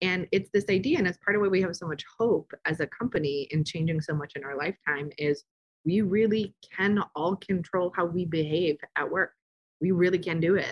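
A woman with an ordinary speaking voice, a fairly low pitch, ordinary pitch variation and a dry, close sound with no echo. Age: 40s. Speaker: consultancy CEO, former nonprofit director. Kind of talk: interview. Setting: same room as co-guest.

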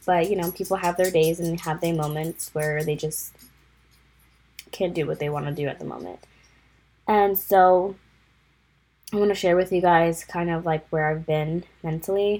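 A woman speaks at a moderate pace in a fairly low, dark, mellow voice. Her intonation is flat and monotone, broken by long, frequent pauses. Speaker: podcast host. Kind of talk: casual solo podcast talk. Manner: casual, filler-heavy.

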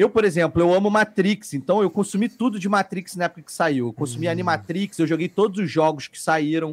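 Speaking at a fairly quick pace, a man talks in a high pitch with ordinary pitch variation. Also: dry, close sound with no echo. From Brazil, Petrópolis (Rio de Janeiro state). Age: 40s. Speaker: podcast guest, TV worker. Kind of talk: casual chat.

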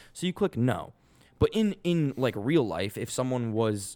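A man speaks with a Boston accent at a fairly slow pace. The recording is very clean, with a silent background. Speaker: podcast co-host. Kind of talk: casual banter, profane.

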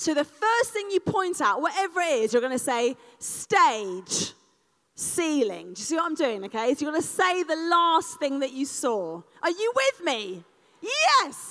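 In an animated tone, a woman speaks at a fairly slow pace and high pitch, her voice making very wide pitch swings. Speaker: speaker leading a live audience exercise. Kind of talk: live interactive talk.

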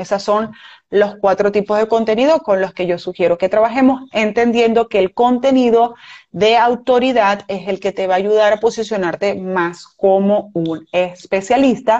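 This woman has a plain, everyday voice, fairly high in pitch, moving at a fairly slow speed with ordinary variation in pitch. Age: 40s. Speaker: business mentor and podcast host. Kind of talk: recorded online masterclass.

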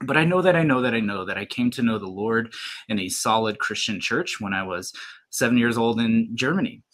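A man with an unremarkable speaking voice at medium pitch talks at a fairly quick pace with lively intonation. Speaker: YouTuber and X-ray tech. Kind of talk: testimony.

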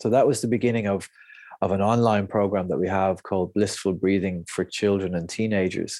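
The speaker has an Irish accent and a dark, mellow tone, moving at a fairly quick pace. Intonation is fairly even, and the background is quiet. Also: man, fairly low pitch for a man. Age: 40s. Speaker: breathwork coach. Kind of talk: interview conversation.

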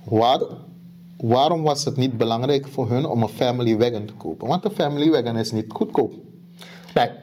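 With a Surinamese accent, a man speaks at a moderate pace and a medium pitch, with ordinary pitch variation. Long, frequent pauses break up his speech. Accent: Surinamese Dutch. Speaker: podcast co-host. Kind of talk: casual chat.

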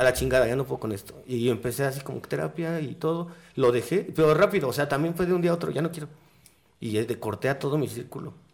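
Talking at a very fast pace, a man with a fairly high pitch shows vocal fry and ordinary pitch variation. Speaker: cannabis podcaster. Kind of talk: casual chat.

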